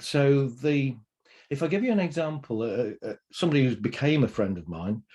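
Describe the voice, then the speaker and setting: A man's medium-pitched voice with a British accent, dark and mellow in tone, with lively intonation at a moderate pace. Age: 60s. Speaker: pain therapy trainer. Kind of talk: interview. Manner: energetic.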